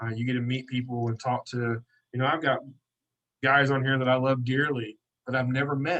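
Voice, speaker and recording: Talking at a fairly quick pace, a man with an American accent has a medium pitch and a bright, sharp tone. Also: dry, close sound with no echo. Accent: hillbilly. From Kentucky, US South. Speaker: detailing business owner and event organiser. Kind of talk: podcast interview. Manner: animated.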